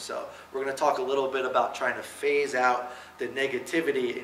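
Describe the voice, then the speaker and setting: Noticeable background noise and audible room echo surround this recording. A man with an American accent speaks at a medium pitch. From New Jersey. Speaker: kicking coach. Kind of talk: coaching clinic lecture. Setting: clinic presentation to coaches. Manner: casual, many fillers.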